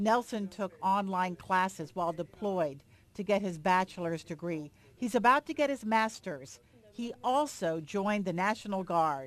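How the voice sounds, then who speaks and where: Using a normal speaking voice, a woman talks at a moderate pace in a medium pitch with lively intonation. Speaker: TV news reporter. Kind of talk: TV news report narration.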